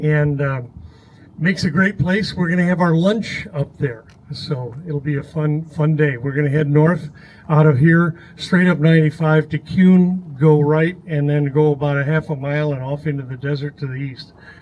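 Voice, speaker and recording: Somewhat breathy and fairly high-pitched, a man speaks at a moderate pace with fairly even intonation. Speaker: off-road ride leader at ham radio gathering. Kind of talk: announcement to a crowd. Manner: hesitant with fillers.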